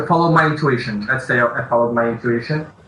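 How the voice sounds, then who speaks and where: Over noticeable background noise and audible room echo, a man speaks. He has a non-native accent and fairly even intonation. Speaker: indie game developer. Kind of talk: interview. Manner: halting.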